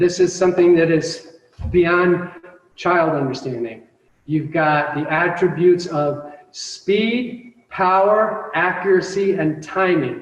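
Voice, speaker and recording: Speaking at a very slow pace, a man uses a high pitch and ordinary pitch variation, with audible room echo around him. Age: 50s. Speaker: martial arts instructor. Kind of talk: instruction class. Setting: video call.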